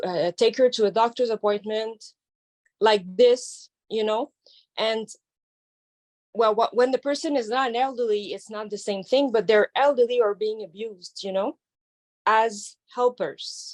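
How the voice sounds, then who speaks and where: In a French Canadian accent, a woman speaks at a fairly slow pace and a fairly high pitch, with ordinary pitch variation and long, frequent pauses. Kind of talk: audience question. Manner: halting.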